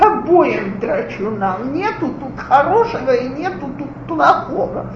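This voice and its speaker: A woman speaks with noticeable background noise. Audible room echo surrounds her voice. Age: 40s. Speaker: lecturer on parenting. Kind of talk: lecture.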